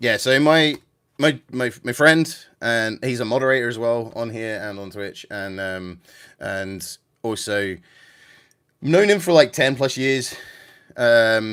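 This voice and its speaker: A medium-pitched man with a southern English accent at a very slow pace, with lively intonation, big swings in loudness and long, frequent pauses, on a very clean recording with a silent background. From England, about fifty miles north of London. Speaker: gaming livestreamer. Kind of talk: casual livestream chat. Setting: vertical livestream with music in background. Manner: hesitant, many fillers.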